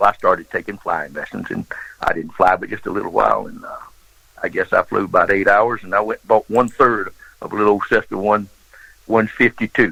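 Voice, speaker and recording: A man speaks with a Southern US accent at a fairly quick pace, his loudness swinging widely. The sound is dry and close, with no echo. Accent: Southern US (Georgia). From US South, Georgia. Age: 70s. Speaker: former smuggler and pilot. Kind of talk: interview storytelling.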